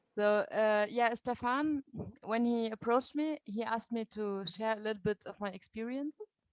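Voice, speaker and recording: With a German accent, a woman speaks at a fairly high pitch with fairly even intonation, the sound dry and close with no echo. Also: moderate pace. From Germany. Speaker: youth movement leader. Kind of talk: talk to a meeting. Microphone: too quiet at first.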